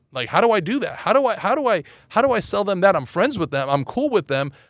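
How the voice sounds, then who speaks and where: In a very clean recording with a silent background, a man with a Californian accent talks at a very fast pace and a high pitch, with very wide pitch swings. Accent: General American (Californian). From Los Angeles. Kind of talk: interview.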